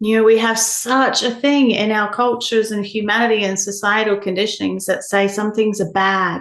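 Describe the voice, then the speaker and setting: Her fairly high pitch holds fairly even intonation as the woman speaks. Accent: New Zealand. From New Zealand. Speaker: human design educator, shamanic practitioner. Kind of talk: podcast interview answer.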